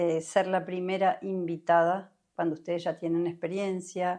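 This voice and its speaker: In a Uruguayan accent, the speaker talks with a dark, mellow tone and monotone, flat intonation. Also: woman. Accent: Rioplatense Spanish (Uruguayan). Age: 60s. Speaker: somatic experiencing therapist. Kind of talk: interview conversation. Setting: podcast recording.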